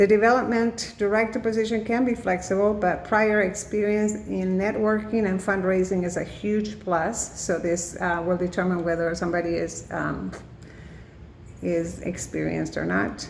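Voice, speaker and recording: Speaking at a moderate pace with a Spanish accent, a woman at medium pitch keeps fairly even intonation amid audible room echo and noticeable background noise. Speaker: student. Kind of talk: class presentation. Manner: halting, many fillers.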